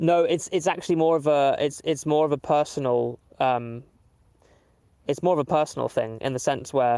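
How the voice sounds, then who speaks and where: A man with a Southern English accent, fairly high in pitch, with ordinary pitch variation, very even loudness and a moderate pace. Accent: normal Southern English. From southern England (Waterlooville, Hampshire). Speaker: musician and streamer. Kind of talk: casual live stream chat. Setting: outdoors livestream. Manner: hesitant, many fillers.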